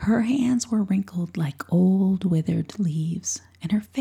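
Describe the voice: The reading aloud is plain, and its pitch moves up and down an ordinary amount.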